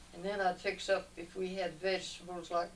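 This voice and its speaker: A woman at a medium pitch with an American accent, moderate pace and noticeable background noise. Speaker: retired cafe owner. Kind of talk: family interview answer.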